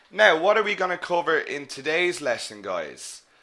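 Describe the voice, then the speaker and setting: An Irish accent marks this man's fairly slow delivery, which has a bright, sharp tone and ordinary pitch variation. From Ireland. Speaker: English teacher. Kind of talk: live online lecture. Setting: live webinar.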